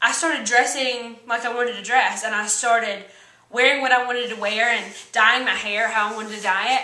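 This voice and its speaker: An animated voice with an American accent moves at a fairly quick pace, with noticeable background noise and audible room echo. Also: woman, fairly high pitch for a woman. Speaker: vlogger. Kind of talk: motivational vlog talk. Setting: standing on a chair indoors.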